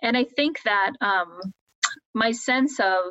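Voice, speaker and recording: A woman speaks at a fairly high pitch with a Midwestern American accent. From US Midwest, Columbus, Ohio. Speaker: education professor. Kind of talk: interview.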